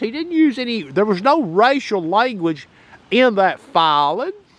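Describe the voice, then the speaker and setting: Speaking with a Southern US accent, a man sounds animated at a fairly slow pace, his pitch swinging very widely. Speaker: political commentator. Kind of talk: opinion monologue.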